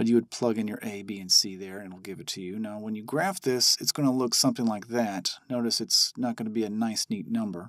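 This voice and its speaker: A man's ordinary speaking voice at medium pitch, fairly quick with hardly any pauses, with big swings in loudness, in a very clean recording against a silent background. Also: ordinary pitch variation. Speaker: math teacher. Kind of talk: tutorial.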